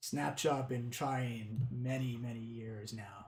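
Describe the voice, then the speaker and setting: Someone talks at a fairly slow pace in a put-on character voice. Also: man, medium pitch for a man. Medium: actual play. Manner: broken English, clipped short phrases.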